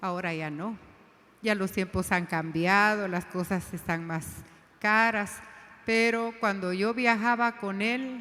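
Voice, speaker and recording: Very slow speech from a woman, ordinary in pitch variation. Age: 60s. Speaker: women's ministry leader. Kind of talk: sermon.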